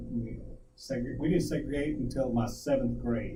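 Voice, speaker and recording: A man with an American accent at a moderate pace, over noticeable background noise and audible room echo. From US, child of Guamanian parents. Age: 60s. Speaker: talk show co-host. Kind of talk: casual chat. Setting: live stream.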